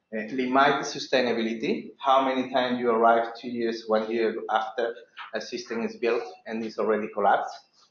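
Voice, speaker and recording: Fairly quick, monotone, flat speech in a non-native accent. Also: man, medium pitch for a man. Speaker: water and sanitation specialist. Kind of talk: presentation. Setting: seminar room with audience and online viewers. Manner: halting.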